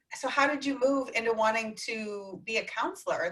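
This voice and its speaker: A woman speaks with a normal speaking voice at a moderate pace. Her pitch is fairly high, with ordinary pitch variation. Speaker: podcast host. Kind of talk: casual interview. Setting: video call.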